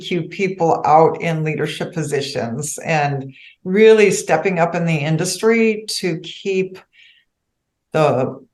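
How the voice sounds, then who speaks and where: With audible room echo around her, a woman at a medium pitch speaks at a fairly slow pace with lively intonation. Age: 60s. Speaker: financial advisor. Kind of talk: podcast interview.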